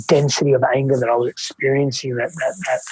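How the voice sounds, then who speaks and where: This man has an Australian accent and a fairly high pitch. His voice is somewhat breathy. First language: Greek. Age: 30s. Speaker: relationship and men's coach. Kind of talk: interview testimony.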